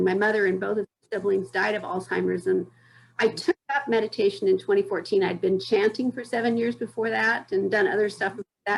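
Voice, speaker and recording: Speaking at a fairly quick pace, a woman has a fairly high pitch and vocal fry. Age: 60s. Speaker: audience member asking a question. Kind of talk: casual question.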